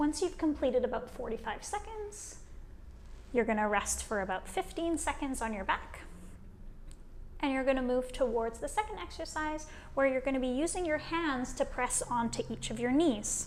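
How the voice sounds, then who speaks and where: In a Western Canadian accent, a woman speaks in a calm tone at a high pitch and moderate pace, with very wide pitch swings. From Vancouver, British Columbia, Canada. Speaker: kinesiologist. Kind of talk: guided exercise instruction. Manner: calm, clear, encouraging.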